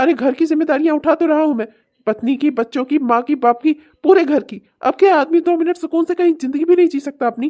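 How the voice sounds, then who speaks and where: Shouting in a high-pitched put-on character voice, a woman races along at a very fast pace with ordinary pitch variation, her sound dry and close with no echo. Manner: shouting, angry.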